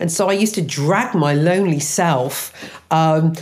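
With an English accent, a woman speaks at a very deep, low pitch with lively intonation, and the recording has audible room echo and noticeable background noise. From English Midlands. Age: 50s. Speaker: matchmaking business owner. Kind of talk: interview testimony. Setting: remote studio.

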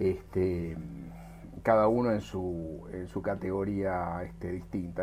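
Lively intonation in a very deep, low male voice. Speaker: aerospace engineer. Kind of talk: interview. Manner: halting.

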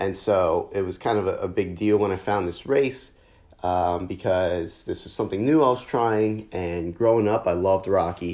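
A man with an American accent speaks in a plain, everyday voice at a fairly low pitch. His pace is moderate, with ordinary pitch variation over a quiet background. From New Jersey, near Philadelphia. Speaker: podcast host, amateur marathon runner. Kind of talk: casual monologue.

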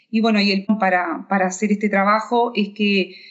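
A woman's voice sits at a medium pitch and moves at a moderate pace. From Uruguay, near Tacuarembó. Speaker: economics professor. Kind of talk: interview. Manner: halting, many fillers and repeats.

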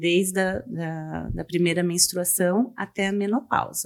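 Here is a woman with a plain, everyday voice. Her pitch is medium and varies in an ordinary way. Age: 40s. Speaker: gynecologist. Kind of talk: medical interview, explaining. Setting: studio.

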